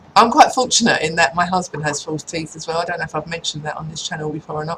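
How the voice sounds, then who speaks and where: A woman with an English accent, fairly low in pitch, talking at a very fast pace. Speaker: vlogger. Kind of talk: casual chat. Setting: at home in front of a computer.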